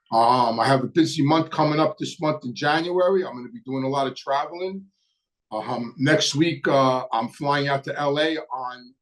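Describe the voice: Moderate pace and ordinary pitch variation. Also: man.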